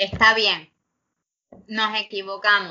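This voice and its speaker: A woman speaks at a very slow pace. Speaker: public defense lawyer and law professor. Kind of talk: interview.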